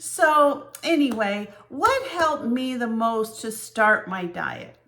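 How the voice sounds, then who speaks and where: Against noticeable background noise, a woman speaks at a very slow pace and high pitch with lively intonation. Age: 60s. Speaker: vlogger. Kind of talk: personal vlog. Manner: conversational.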